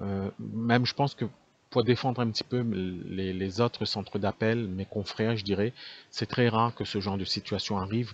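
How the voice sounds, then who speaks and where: With a Réunion accent, this man has a fairly low pitch, fairly even intonation, and a dry, close sound with no echo. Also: moderate pace. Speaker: call center owner. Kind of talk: business talk to camera. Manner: unscripted, many hesitations.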